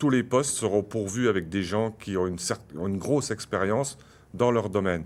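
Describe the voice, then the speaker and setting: Recorded very cleanly against a silent background, a man speaks at a moderate pace in a fairly low voice. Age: 60s. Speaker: municipal candidate. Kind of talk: political debate. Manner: hesitant, many fillers.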